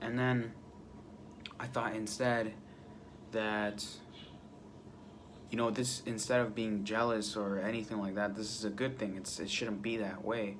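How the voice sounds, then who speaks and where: A man speaks in a fairly low pitch with audible room echo. His speech has long, frequent pauses. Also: fairly even intonation. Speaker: vlogger. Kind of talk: casual monologue. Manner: halting.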